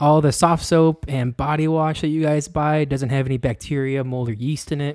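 With a normal speaking voice, a man talks at a fairly quick pace, his fairly high pitch held in fairly even intonation. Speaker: podcast host. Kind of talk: casual chat.

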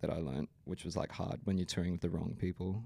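A man with an Australian accent, very deep and low in pitch, dark and mellow in tone with vocal fry, at a fairly quick pace. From Brisbane, Australia. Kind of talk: casual interview chat.

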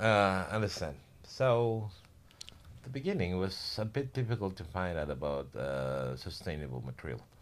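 A man with an Indonesian accent talks at a very deep, low pitch. His pitch swings very widely. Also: moderate pace. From Indonesia, Java. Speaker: building contractor. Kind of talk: casual interview.

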